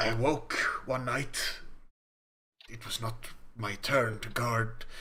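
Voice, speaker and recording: A man puts on a character voice at medium pitch. He goes at a fairly slow pace, and echo is audible. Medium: actual play. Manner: formal, measured, solemn.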